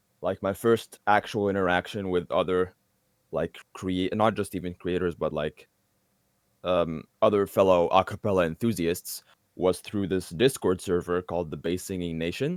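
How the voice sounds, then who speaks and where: In a very clean recording with a silent background, a man speaks with an Arabic accent. His pitch is very deep and low, with fairly even intonation. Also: moderate pace, dry, close sound with no echo. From Egypt, Alexandria. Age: 20s. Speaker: a cappella singer. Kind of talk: interview.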